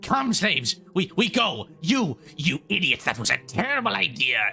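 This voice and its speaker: Over faint background music, a man does a put-on character voice, pitched high with very wide swings, at a moderate pace. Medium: actual play. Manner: gruff, commanding.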